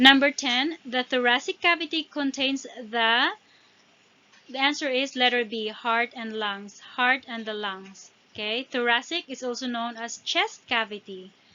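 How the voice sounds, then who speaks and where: A non-native accent at a fairly slow pace with ordinary pitch variation. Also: woman, high pitch for a woman. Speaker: exam prep tutor. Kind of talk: tutorial. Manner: halting, with fillers and restarts.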